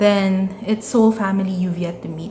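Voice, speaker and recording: A woman speaks at a medium pitch in a somewhat breathy voice. Room echo is audible around her. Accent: Filipino. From Philippines. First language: Tagalog. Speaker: tarot reader. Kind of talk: tarot reading. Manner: casual, hesitant with many fillers.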